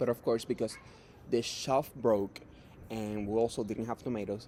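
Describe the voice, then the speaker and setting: Dark and mellow in tone, a man's medium-pitched voice moves at a moderate pace with flat, monotone intonation. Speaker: job applicant. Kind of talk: mock job interview. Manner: halting, many fillers.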